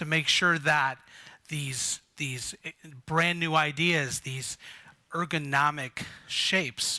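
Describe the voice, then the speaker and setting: Loud and bright with a sharp tone, a man talks with fairly even intonation over a quiet background. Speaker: conference speaker. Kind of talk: conference presentation. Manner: slow.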